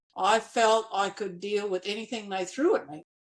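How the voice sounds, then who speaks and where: An Australian accent at a fairly slow pace, with ordinary pitch variation, on a very clean recording with a silent background. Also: woman. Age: 70s. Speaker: nurse and former builder, medical school entrant. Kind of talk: podcast interview.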